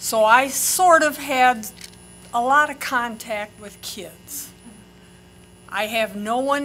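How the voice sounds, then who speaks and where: A woman's high-pitched voice, very slow, with ordinary pitch variation, big swings in loudness, long and frequent pauses, and music in the background. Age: 80s+. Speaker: public commenter, retired librarian. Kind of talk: public comment. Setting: podium at public meeting.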